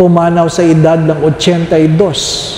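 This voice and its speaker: Recorded with noticeable background noise and audible room echo, a man talks at a high pitch. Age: 60s. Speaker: priest. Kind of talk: sermon. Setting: church. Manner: animated.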